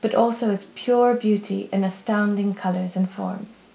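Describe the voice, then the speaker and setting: Audible room echo surrounds a woman with an American accent. She talks at a moderate pace with monotone, flat intonation. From Poland / United States. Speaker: glass artist. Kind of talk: crowdfunding pitch. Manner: scripted, earnest. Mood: calm, earnest, enthusiastic. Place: home room.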